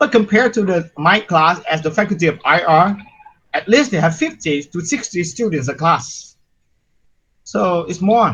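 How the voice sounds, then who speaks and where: Lively intonation marks this voice with a Vietnamese accent. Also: man, high pitch for a man, moderate pace. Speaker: university lecturer. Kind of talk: lecture.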